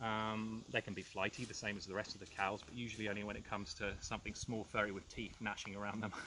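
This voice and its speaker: Barely pausing, a man rattles off words at a very fast pace in a fairly low, monotone, flat voice. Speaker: nature reserve officer. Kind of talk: outdoor guided walk explanation. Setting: outdoors. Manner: loud; hesitant, many fillers.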